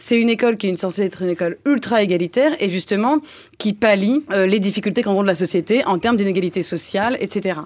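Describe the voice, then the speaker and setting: At a very fast pace, the voice holds a very even loudness with ordinary pitch variation. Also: woman, medium pitch for a woman. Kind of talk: satirical panel discussion. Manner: higher pitch than usual.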